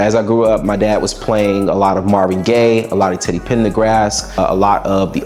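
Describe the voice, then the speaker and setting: Over noticeable background noise, a man speaks in a fairly low pitch with monotone, flat intonation. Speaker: musician. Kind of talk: interview.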